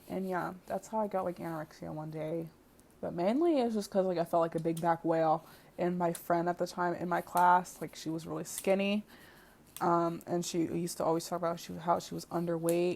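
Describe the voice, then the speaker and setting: A woman speaks at a fairly quick pace with a fairly low pitch. Her intonation is monotone and flat. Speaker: video blogger. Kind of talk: casual personal story. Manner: stuttering, unscripted; filler-heavy, casual.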